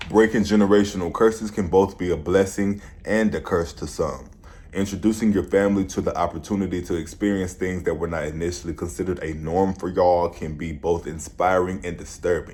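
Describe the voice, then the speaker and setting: A man speaks at a fairly quick pace in a very deep, low voice. His intonation stays fairly even. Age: 20s. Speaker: vlogger and musician. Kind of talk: vlog monologue.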